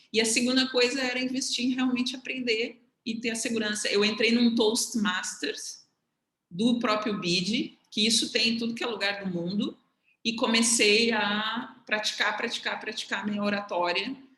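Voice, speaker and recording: Here is a plain, everyday voice at a moderate pace. The intonation is fairly even. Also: woman, fairly high pitch for a woman. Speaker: economist sharing career path with students. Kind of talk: casual mentoring conversation on video call.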